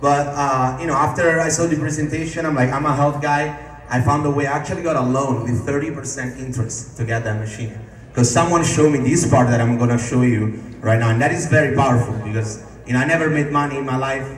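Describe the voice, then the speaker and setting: Through noticeable background noise and audible room echo, someone with an Italian accent talks at a very fast pace in an animated tone. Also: man, fairly high pitch for a man. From Italy. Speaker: network marketing distributor. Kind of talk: sales pitch. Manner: casual, animated.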